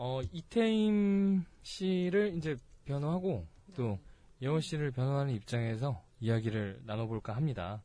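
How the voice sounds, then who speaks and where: Very slow, somewhat breathy delivery in a dark, mellow tone with very wide pitch swings. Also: man, fairly high pitch for a man. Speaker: podcast host. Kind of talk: casual chat. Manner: animated, joking.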